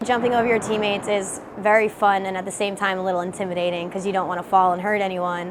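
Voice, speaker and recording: A woman with an American accent and a medium pitch speaks at a very fast pace with hardly any pauses and monotone, flat intonation, amid audible room echo and noticeable background noise. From northern New Jersey (West Milford). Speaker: roller derby skater. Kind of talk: documentary interview.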